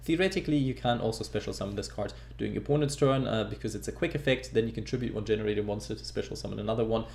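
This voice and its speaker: A man talking at a very fast pace with hardly any pauses, in a non-native accent. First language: not English. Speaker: gaming YouTuber. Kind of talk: tutorial. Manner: casual.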